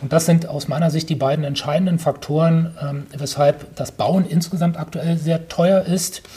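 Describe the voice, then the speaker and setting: The voice is monotone and flat in intonation, with noticeable background noise behind it. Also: man. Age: 40s. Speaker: real estate developer. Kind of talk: interview. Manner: hesitant with many fillers.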